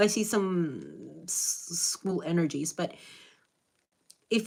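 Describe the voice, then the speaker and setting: A woman with a Spanish accent and an animated tone. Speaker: spiritual reader / channeler. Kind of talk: live stream reading.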